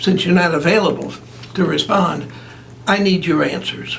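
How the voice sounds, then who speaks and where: A man speaks in a high voice. There is noticeable background noise. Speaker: longtime announcer and public relations man. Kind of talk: interview answer.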